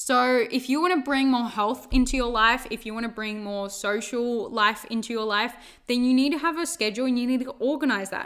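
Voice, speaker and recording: Speaking with an Australian accent, a woman uses a high pitch and ordinary pitch variation at a fairly quick pace. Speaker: podcast host, life coach. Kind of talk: solo self-help monologue. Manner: casual, filler-heavy.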